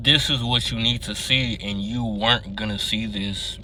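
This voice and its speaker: The room echo is audible as a man speaks. He keeps a moderate pace and fairly even intonation. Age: young. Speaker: vlogger. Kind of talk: casual monologue vlog. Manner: hesitant, filler words.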